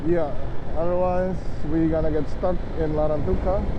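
Loud background noise under a man's speech. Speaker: motorbike travel vlogger. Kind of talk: casual vlog chat. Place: motorbike. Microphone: helmet.

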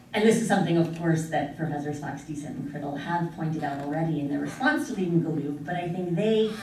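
Over light background noise and audible room echo, a woman with an American accent speaks in a very deep, low pitch. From United States. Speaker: international law scholar. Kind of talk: academic conference presentation. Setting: conference room with audience. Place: classroom. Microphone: camera far.

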